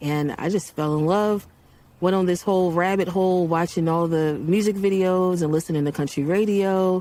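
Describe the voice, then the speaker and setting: A woman with a Baltimore accent speaks at a moderate pace in a dark, mellow tone, her fairly low pitch and intonation fairly even, her loudness very even, in a very clean recording with a silent background. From Baltimore, US. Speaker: country singer. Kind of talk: interview testimony.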